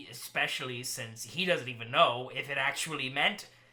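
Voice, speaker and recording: A man's raised, projected put-on character voice at medium pitch and a moderate pace. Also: ordinary pitch variation. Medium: actual play. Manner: quiet, muttering.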